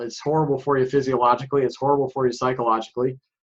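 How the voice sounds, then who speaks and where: A man with an American accent speaks at a medium pitch in a monotone, flat intonation. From northern New York. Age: 60s. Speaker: author on men's personal growth. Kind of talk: podcast interview.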